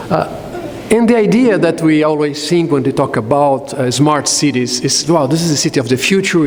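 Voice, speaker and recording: A man with a fairly high pitch speaks at a moderate pace, his pitch varying in an ordinary way. Audible room echo and noticeable background noise fill the recording. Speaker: conference speaker on smart cities. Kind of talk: conference presentation. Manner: hesitant, frequent uh fillers.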